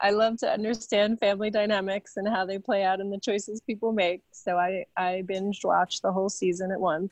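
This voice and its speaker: Talking fairly quickly with hardly any pauses, a woman with an American accent keeps a medium pitch and fairly even intonation in an ordinary speaking voice, with a dry, close sound and no echo. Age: 40s. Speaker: philanthropy consultant and author. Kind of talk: interview.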